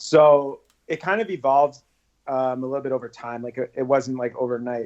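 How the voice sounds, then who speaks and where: Intonation stays fairly even as a man talks at a medium pitch. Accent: American. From New York, Queens. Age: 30s. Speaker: social media personality. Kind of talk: interview.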